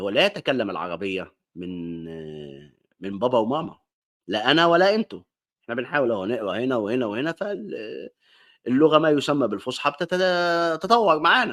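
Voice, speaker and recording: On a very clean recording with a silent background, a man with an Alexandrian accent speaks at a moderate pace and medium pitch, using very wide pitch swings. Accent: Egyptian Arabic, Alexandrian. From Egypt, Alexandria. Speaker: online talk show host. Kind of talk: monologue lecture. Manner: casual, conversational.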